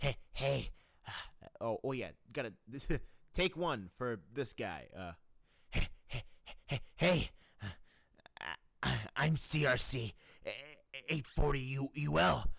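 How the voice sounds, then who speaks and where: Using a put-on character voice, a man talks in a raised, projected, raspy tone at medium pitch, very slowly and with long, frequent pauses, on a very clean recording with a silent background. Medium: voice reel. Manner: stammering, rambling.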